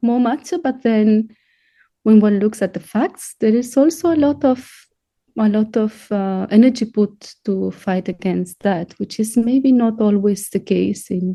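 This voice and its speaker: A woman talks at a fairly slow pace in a somewhat breathy voice with ordinary pitch variation. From Spain. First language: Spanish. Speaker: composer and professor. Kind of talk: interview.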